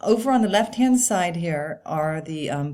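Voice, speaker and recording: In a very clean recording with a silent background, a woman speaks at a fairly low pitch with a dark, mellow tone and a somewhat breathy quality. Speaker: professor. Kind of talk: lecture.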